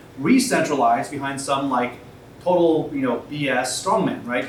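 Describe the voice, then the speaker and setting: There is noticeable background noise and audible room echo. Over it, a man speaks in a fairly high voice. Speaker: tech company co-founder and CTO. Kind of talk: panel talk at a meetup. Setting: stage with audience at a meetup. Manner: loud.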